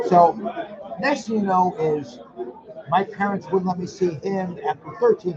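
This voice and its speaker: Against crowd noise in the background, a man with an American accent speaks in a high, animated voice at a fairly slow pace, with ordinary pitch variation and long, frequent pauses. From US Northeast, Connecticut. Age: 70s. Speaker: reality TV personality. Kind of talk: casual chat.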